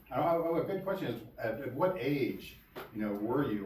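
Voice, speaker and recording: A man's intonation is lively, with audible room echo and noticeable background noise around him. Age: 60s. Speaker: lecturer on archaeology. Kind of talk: lecture. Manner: halting, with many repeated words.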